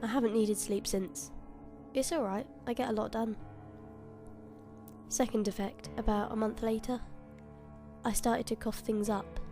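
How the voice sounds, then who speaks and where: Over music in the background, the speech moves at a moderate pace with very even loudness and long, frequent pauses. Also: woman. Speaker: horror story narrator. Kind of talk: horror story reading.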